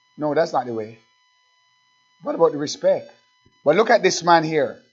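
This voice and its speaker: A man's voice comes through with music in the background. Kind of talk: sermon. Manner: exhortative, urgent pulpit delivery with rhetorical questions and repetition; halting at times, with filler pauses between phrases.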